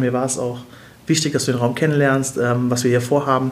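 A man talks fairly quickly in a monotone, flat way. Noticeable background noise and audible room echo surround him. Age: 30s. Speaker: social media manager. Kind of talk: interview.

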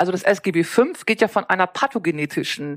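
A woman with a plain, everyday voice speaks at a medium pitch and a moderate pace with lively intonation, in a dry, close sound with no echo. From northern Germany (East Frisia). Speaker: nursing science professor. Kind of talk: interview.

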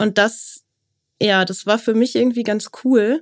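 A woman's ordinary speaking voice, fairly high in pitch with ordinary pitch variation, at a moderate pace on a very clean recording with a silent background. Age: 30s. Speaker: business journalist. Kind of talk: interview.

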